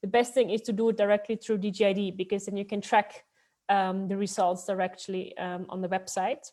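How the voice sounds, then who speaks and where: The voice has a dark, mellow tone and a Dutch accent. Its intonation stays fairly even at a fairly quick pace. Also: woman. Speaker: city expat support advisor. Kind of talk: informational webinar talk.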